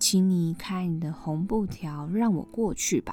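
A woman talks very slowly in a medium pitch. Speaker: podcast host, myth storyteller. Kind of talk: storytelling narration; casual chat.

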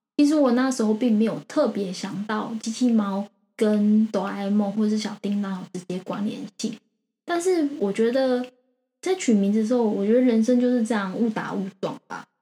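A somewhat breathy, dark, mellow tone at a moderate pace with ordinary pitch variation. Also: woman, fairly high pitch for a woman. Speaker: crypto podcast host. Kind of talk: casual chat.

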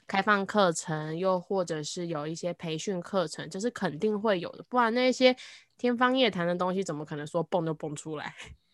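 Recorded very cleanly against a silent background, an ordinary speaking voice moves at a moderate pace with ordinary pitch variation and big swings in loudness. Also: woman, medium pitch for a woman. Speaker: podcaster and trainer. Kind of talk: casual chat. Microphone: new microphone.

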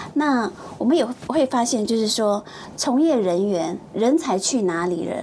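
Noticeable background noise sits behind a woman speaking fairly slowly in a fairly high pitch. Her intonation is lively and her loudness very even. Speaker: TV producer. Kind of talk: casual chat. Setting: studio.

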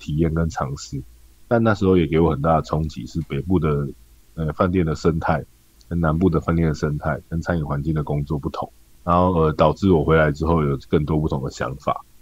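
This man's pitch is very deep and low. He keeps his intonation fairly even. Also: fairly quick pace. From Taiwan, Tainan. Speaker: restaurant owner and chef. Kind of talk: interview.

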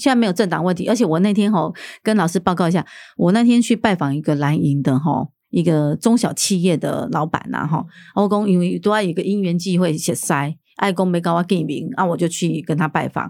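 A woman with an unremarkable speaking voice talks at a fairly quick pace, her pitch fairly low with ordinary variation. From Taiwan, Keelung (Nuannuan). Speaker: city councillor and candidate. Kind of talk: political interview.

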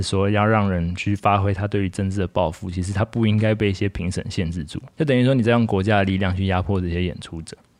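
In a Taiwanese accent, a man with a fairly low pitch talks at a very fast pace with hardly any pauses. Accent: Taiwanese Mandarin. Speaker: podcast co-host. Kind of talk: casual chat.

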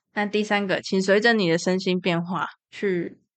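In a quiet background, a woman with an unremarkable speaking voice talks at a moderate pace in a medium pitch, with ordinary pitch variation. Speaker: podcast host with depression. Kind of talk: casual monologue.

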